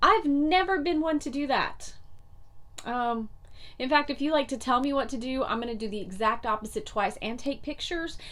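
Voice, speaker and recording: Animated and lively in intonation, a high-pitched woman with a North Carolina accent speaks at a moderate pace. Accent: Southern US, North Carolina. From US South, North Carolina. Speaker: motivational vlogger. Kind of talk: motivational talk to camera.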